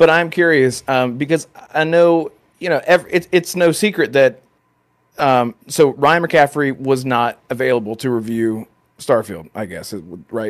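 A man in a normal speaking voice talks at a fairly slow pace, his pitch fairly high, his intonation lively and his loudness swinging widely. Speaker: content creator. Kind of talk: casual chat.

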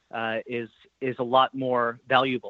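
With a plain, everyday voice, a man speaks at a medium pitch and a fairly slow pace. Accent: American. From New York. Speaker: sports betting executive. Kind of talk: interview.

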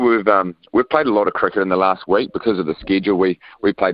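The speaker talks at a very fast pace with ordinary variation in pitch. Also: man. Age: 30s. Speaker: professional cricketer. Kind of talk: radio interview.

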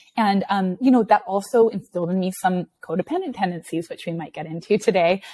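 Her medium pitch showing ordinary variation, a woman speaks in a dark, mellow tone at a fairly quick pace. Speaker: therapist and executive coach. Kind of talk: casual interview conversation. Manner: fast talker.

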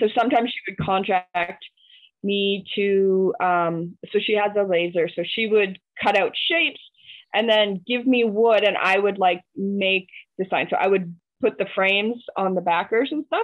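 Delivered at a moderate speed, an unremarkable speaking voice shows ordinary pitch variation. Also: woman, medium pitch for a woman. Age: 30s. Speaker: maker and small business owner. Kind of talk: casual chat.

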